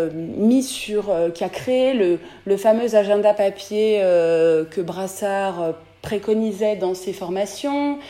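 There is ordinary pitch variation in the voice, with noticeable background noise. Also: woman. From France, Beaujolais area. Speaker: dentist. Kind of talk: interview.

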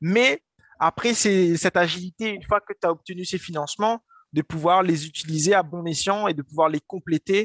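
At a moderate pace, a man speaks with ordinary variation in pitch. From Réunion, Saint-Denis. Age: 20s. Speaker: entrepreneur. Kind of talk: interview. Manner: animated; halting.

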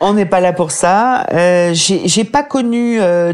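A woman talks in a plain, everyday voice. Her pitch is medium, with ordinary pitch variation. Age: 50s. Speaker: author and medical writer, depression survivor. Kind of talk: interview testimony.

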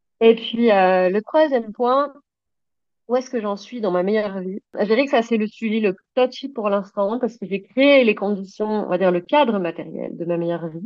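A woman speaks in a plain, everyday voice at a moderate pace. Her pitch sits fairly high, with ordinary variation. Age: 30s. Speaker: equestrian business owner. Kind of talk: personal testimony.

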